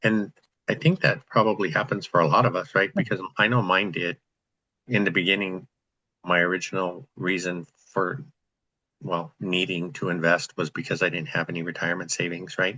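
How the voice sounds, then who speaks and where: A bright, sharp tone at a moderate pace. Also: man, very deep, low pitch for a man, ordinary pitch variation. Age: 60s. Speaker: real estate investor, group host. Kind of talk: group video call discussion. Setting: video call.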